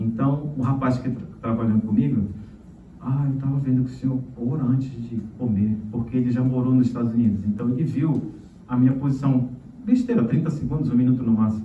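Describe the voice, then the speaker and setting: A man talks at a fairly quick pace in a medium pitch with fairly even intonation. Noticeable background noise and audible room echo are present. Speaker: pastor. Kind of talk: sermon.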